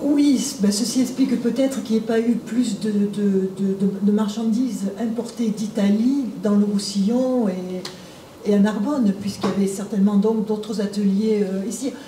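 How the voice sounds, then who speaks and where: With hardly any pauses, a woman speaks at a fairly slow pace in a fairly high pitch. Her intonation is fairly even, and background noise is noticeable. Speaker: audience member. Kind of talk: audience question. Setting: lecture hall with audience.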